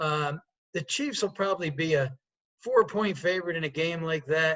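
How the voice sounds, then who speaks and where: A man with an American accent, lively intonation and fairly high pitch. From New York state (Poughkeepsie). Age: 60s. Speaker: sportsbook executive. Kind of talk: interview.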